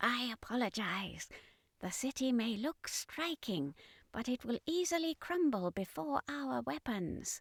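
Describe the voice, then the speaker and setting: A woman performs a put-on character voice at a fairly high pitch, with very wide pitch swings and a fairly slow pace. The recording is very clean, with a silent background. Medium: read story. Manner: stiff, militaristic.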